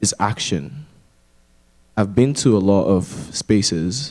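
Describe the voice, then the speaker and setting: Lively intonation and vocal fry mark a man's speech, delivered in a dark, mellow tone. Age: 20s. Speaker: student panelist. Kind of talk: panel discussion.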